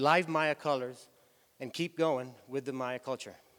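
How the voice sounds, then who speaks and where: Speaking in a Spanish accent, a man uses a fairly high pitch with ordinary pitch variation. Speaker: tour company executive. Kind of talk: conference talk. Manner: halting.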